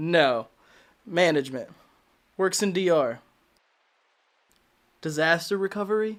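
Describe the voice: A man's put-on character voice, high-pitched with a fairly bright tone, slow-paced with long, frequent pauses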